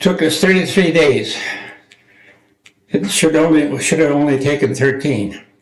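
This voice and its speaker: A man with an Upper Midwest accent speaks at a fairly slow pace, his pitch fairly high. His intonation is lively, broken by long, frequent pauses. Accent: Upper Midwest American. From rural Minnesota, USA. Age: 80s+. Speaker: war veteran. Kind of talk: interview answer.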